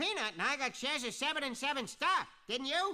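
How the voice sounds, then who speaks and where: The voice is a put-on character voice, pitched high. Its pace is fairly quick. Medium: video game.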